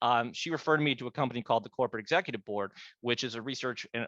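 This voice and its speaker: A man speaks very fast in a bright, sharp tone at a medium pitch, recorded dry and close with no echo against a quiet background. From Pittsburgh, US. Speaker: business advisor and author. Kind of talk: interview. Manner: animated; halting, many fillers and restarts.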